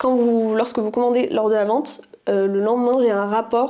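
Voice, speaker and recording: A woman's fairly high, dark, mellow voice with fairly even intonation at a moderate pace. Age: 20s. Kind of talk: casual vlog talk to camera.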